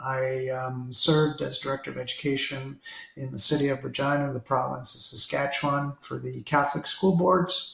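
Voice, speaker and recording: The man speaks with a Canadian accent at a moderate pace. His pitch is fairly high and his intonation monotone and flat. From Toronto, Canada. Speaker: retired school district leader. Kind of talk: interview.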